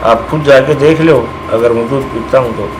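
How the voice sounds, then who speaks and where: Noticeable background noise runs beneath the voice. The pace is moderate and the intonation fairly even. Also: man. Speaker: local temple devotee telling the legend. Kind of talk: interview answer. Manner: casual, conversational.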